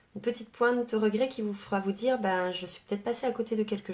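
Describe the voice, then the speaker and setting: At a very fast pace, a woman speaks in a fairly high voice. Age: 30s. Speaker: network marketing coach. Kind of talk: live video talk to followers.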